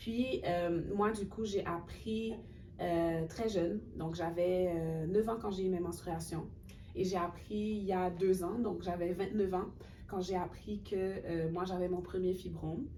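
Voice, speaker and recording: With audible room echo, a woman with a dark, mellow tone and medium pitch talks at a very slow pace with fairly even intonation. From Haiti. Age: 30s. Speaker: cultural worker and graduate student. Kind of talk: webinar interview.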